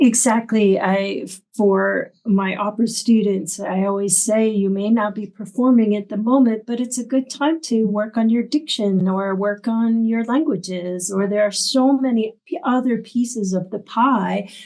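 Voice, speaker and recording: In a plain, everyday voice, a woman speaks at a fairly high pitch and a fairly slow pace, with ordinary pitch variation and hardly any pauses. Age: 60s. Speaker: arts center director and opera teacher. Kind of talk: interview conversation.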